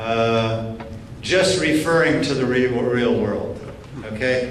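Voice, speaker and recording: Noticeable background noise and audible room echo both surround a man as he talks. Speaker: professor, keynote speaker. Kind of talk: lecture Q&A. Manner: slow; halting, repeats words.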